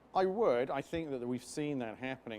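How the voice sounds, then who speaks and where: A man speaks with a British accent. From UK. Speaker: business chamber chairman. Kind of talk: interview. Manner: formal.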